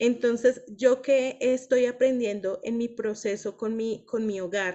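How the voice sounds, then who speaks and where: Her voice is fairly high for a woman, with fairly even intonation. She speaks at a very slow pace. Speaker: women's book club leader. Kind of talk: group discussion / teaching.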